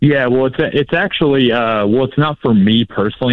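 With ordinary pitch variation and a moderate pace, a man speaks in a normal speaking voice. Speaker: caller, small business owner. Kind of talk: call-in advice conversation. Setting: phone call.

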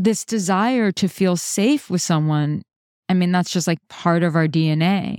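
At a very slow pace, a woman speaks at a medium pitch with ordinary pitch variation, in a dry, close sound with no echo on a very clean recording with a silent background. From New York. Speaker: relationship coach, podcast host. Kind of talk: live coaching conversation. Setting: call. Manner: gentle.

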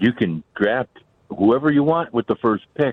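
A man in a normal speaking voice, lively in intonation, at a fairly slow pace. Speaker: radio caller. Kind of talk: call-in chat. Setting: phone call.

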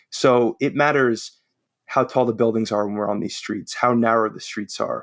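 In a very clean recording with a silent background and a dry, close sound with no echo, a man with a New York accent speaks at a fairly quick pace, at medium pitch with ordinary pitch variation. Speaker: real estate developer and writer. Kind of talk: interview conversation.

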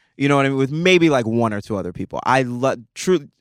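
A man at a very fast pace with lively intonation in a very clean recording against a silent background. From Nigeria. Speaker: actor. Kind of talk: casual chat.

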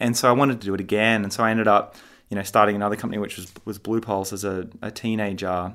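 In an Australian accent, the speaker talks at a very fast pace with monotone, flat intonation, in a very clean recording with a silent background. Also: man, fairly low pitch for a man. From Australia, Sydney. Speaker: tech startup founder and CEO. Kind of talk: interview.

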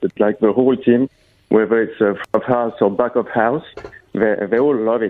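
A man's unremarkable speaking voice at medium pitch, with fairly even intonation and a moderate pace. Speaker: patisserie owner. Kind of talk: interview. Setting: phone call.

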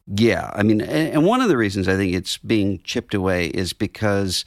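A normal speaking voice moves at a moderate pace with ordinary pitch variation. The sound is dry and close with no echo, on a very clean recording with a silent background. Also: man. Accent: American. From Mississippi, US South (Biloxi). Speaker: theologian and magazine editor. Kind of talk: casual interview.

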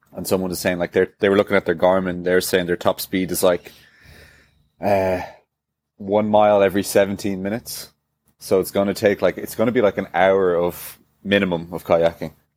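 With a Dublin accent, a man speaks at a fairly quick pace in a very deep, low pitch and monotone, flat intonation, the sound dry and close with no echo. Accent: mild Dublin Irish. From Ireland, Dublin. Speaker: CrossFit athlete. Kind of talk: casual interview. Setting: video call from hotel room.

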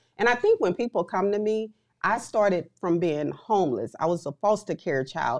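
A woman's normal speaking voice at medium pitch, moderate pace and lively intonation, in a dry, close sound with no echo. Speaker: real estate investor. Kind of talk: casual chat.

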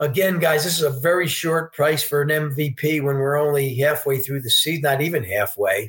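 With an American accent, a man uses an ordinary speaking voice at a fairly high pitch, keeping fairly even intonation and a moderate pace with hardly any pauses. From New York State, Poughkeepsie. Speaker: sportsbook director. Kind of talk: interview.

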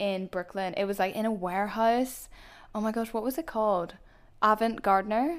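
This woman, with a Belfast accent, talks at a medium pitch with ordinary pitch variation on a very clean recording with a silent background. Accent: Northern Irish, soft Belfast. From Belfast, Northern Ireland. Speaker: YouTuber. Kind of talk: casual chat.

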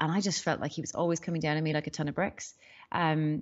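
A woman's very deep, low voice in an Irish accent. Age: 40s. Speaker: business strategist and startup mentor. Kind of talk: interview. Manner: hesitant, many fillers.

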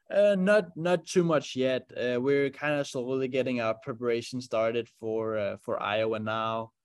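A man's medium-pitched voice with a Danish accent, lively intonation, a moderate pace and hardly any pauses. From Denmark. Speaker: racing driver. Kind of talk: interview.

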